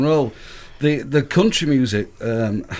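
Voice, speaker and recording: This man's voice sits fairly high in pitch, with ordinary pitch variation. He talks at a moderate pace. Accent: northern English. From northern England. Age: 60s. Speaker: musician. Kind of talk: interview.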